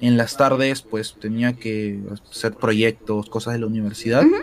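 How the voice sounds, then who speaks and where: A man keeps a moderate pace, his pitch showing ordinary variation. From Peru, Lima (Surquillo). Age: 20s. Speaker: esports caster. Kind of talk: interview.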